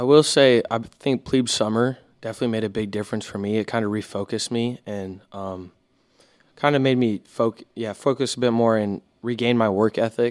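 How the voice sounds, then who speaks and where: A man with an American accent talks at a fairly quick pace in a normal speaking voice, his medium pitch moving in fairly even intonation. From Houston, Texas. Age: young. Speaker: naval academy student. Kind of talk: casual chat.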